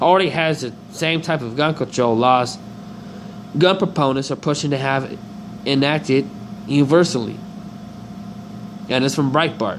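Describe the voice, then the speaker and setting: Fairly high male speech at a medium speed, with long, frequent pauses, ordinary pitch variation and noticeable noise in the background. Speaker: political commentary video host. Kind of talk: reading articles aloud with commentary.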